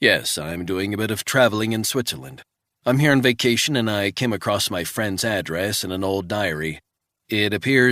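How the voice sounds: The background stays quiet while a natural reading voice moves with ordinary pitch variation.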